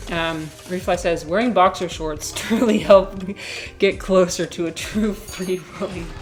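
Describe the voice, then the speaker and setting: With music in the background, a woman speaks at a medium pitch and moderate pace with fairly even intonation. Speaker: streamer. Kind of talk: casual chat. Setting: live stream. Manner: sounds sarcastic.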